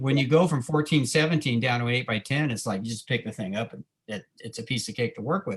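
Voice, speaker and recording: A man talks at a very fast pace with a somewhat breathy quality. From Southern California. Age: 70s. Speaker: photographer. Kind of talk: interview.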